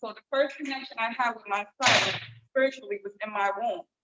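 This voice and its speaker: Her pitch varying in an ordinary way, a woman speaks with an American accent. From New York, Bronx. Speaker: visual artist. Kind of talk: panel discussion. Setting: gallery with live audience and Zoom.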